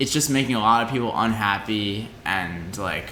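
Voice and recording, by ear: A man speaks at a fairly low pitch with a bright, sharp tone. The room echo is audible. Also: ordinary pitch variation, moderate pace.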